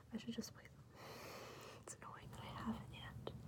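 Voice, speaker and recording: The speaker is soft-spoken. The pace is moderate. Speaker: ASMR creator. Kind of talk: ASMR soft-spoken show and tell.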